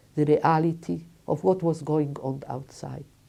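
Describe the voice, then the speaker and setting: A woman speaks at a fairly slow pace with a very deep, low pitch and vocal fry. Her tone is dark and mellow, and the background is quiet. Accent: Polish. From Lodz, Poland. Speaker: Holocaust survivor. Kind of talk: testimony interview.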